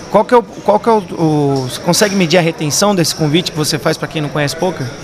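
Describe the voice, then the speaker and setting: Over noticeable background noise, a man talks at a very fast pace in a high voice with ordinary pitch variation. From Campinas, Brazil. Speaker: podcast co-host. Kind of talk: casual interview chat.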